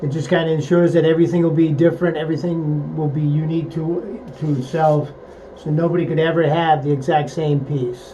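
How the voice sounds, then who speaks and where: A man at fairly high pitch and fairly quick pace, monotone and flat, with noticeable background noise and audible room echo. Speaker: woodworking craftsman. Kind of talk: workshop tutorial. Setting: outdoor workshop. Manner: casual, halting with fillers.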